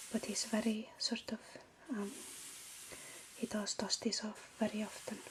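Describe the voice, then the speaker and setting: Soft-spoken and with an Icelandic accent, a woman speaks at a fairly slow pace with fairly high pitch and monotone, flat intonation, over noticeable background noise. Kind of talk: ASMR room tour.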